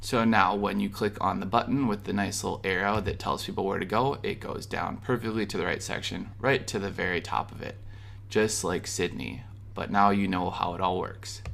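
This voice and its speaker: A man with a Minnesota accent speaks with vocal fry at a fairly low pitch, moving at a moderate pace with fairly even intonation. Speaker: web design tutorial creator. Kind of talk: screen-recorded software tutorial. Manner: casual, conversational.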